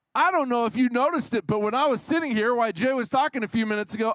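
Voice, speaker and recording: A man speaks very fast at an extremely high pitch with lively intonation. The recording is very clean and dry, close, with a silent background and no echo. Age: 50s. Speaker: pastor. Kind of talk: sermon. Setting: church. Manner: halting.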